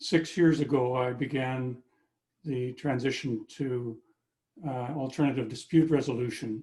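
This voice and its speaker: A somewhat breathy, dark, mellow voice at a fairly slow pace, with fairly even intonation. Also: man, medium pitch for a man. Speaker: dispute resolution practitioner, former construction worker. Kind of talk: audience question.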